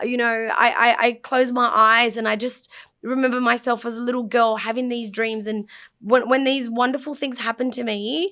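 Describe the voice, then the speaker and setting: A loud woman with a high pitch speaks in an Australian accent with a bright, sharp tone and fairly even intonation. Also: moderate pace. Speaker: fashion designer. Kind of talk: casual chat.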